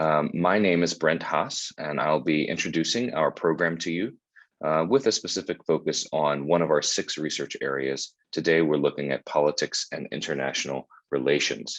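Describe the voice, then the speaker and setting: A very deep, low-pitched man with an American accent, vocal fry, ordinary pitch variation and a moderate pace. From US South, Charlotte, North Carolina. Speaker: university admissions staff. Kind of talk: informational webinar presentation. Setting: Zoom webinar.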